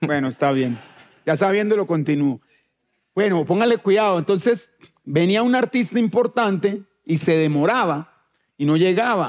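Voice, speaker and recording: A high-pitched man speaks with lively intonation and long, frequent pauses. The background is quiet. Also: moderate pace, very even loudness. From Colombia, Chocó. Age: 40s. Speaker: musician; talk show guest. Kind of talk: casual chat. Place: stage. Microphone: headset.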